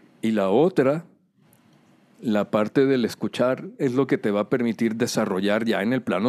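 In a normal speaking voice with lively intonation, the speaker talks at a fairly slow pace, recorded with a dry, close sound with no echo. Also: man. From Culiacán, Sinaloa, Mexico. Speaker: piano teacher. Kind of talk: interview.

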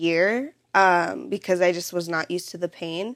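The very clean recording, with a silent background, captures a woman speaking at a medium pitch. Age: 20s. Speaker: student with endometriosis. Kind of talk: casual chat.

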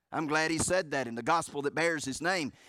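Speaking at a moderate pace with a Southern US accent, a man uses a fairly high pitch, a bright, sharp tone and ordinary pitch variation. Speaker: pastor. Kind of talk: sermon. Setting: church. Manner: animated, fervent preaching with emphatic repetition and rhetorical questions; jokes with the congregation, conversational asides.

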